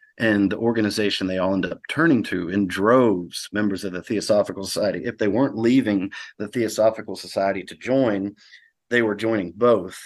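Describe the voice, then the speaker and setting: Against a quiet background, a man talks at a fairly quick pace with a Southern US accent and fairly even intonation. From US South, rural Mississippi. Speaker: author and practicing alchemist. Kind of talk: podcast interview. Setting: remote call.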